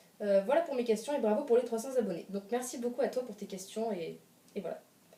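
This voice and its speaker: A woman speaks at a fairly high pitch with lively intonation. Noticeable background noise can be heard. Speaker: youtuber. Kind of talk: casual chat. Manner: fast.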